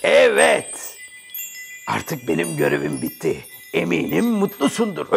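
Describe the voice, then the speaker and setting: Someone speaks at a fairly slow pace in a put-on character voice. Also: man. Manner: amused, teasing, then firm.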